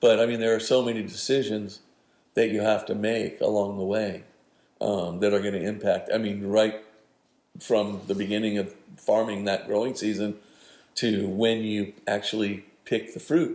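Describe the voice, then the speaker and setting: The man has a normal speaking voice pitched fairly low. His intonation stays fairly even at a moderate pace. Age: 60s. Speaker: winemaker. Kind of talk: interview.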